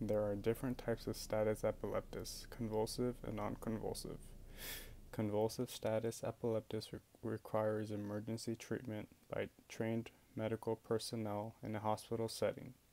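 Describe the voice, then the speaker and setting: A man speaks in a medium pitch with a dark, mellow tone. His delivery is moderately paced and monotone, with flat intonation. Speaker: epilepsy patient sharing experience. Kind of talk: casual talk to camera. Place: home room. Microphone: earbuds.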